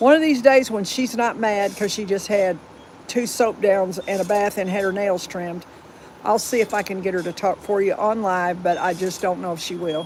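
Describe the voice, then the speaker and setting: The speaker has an American accent and a moderate pace. Noticeable background noise can be heard. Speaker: dog owner livestreaming. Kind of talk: casual live stream chat. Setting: home livestream. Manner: halting, repeats words.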